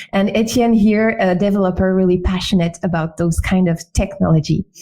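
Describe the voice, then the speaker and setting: A woman speaks with a French accent at a medium pitch. Her pace is moderate and her pitch varies in an ordinary way. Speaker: webinar host, UX designer. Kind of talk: webinar presentation. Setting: online webinar. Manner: hesitant with fillers.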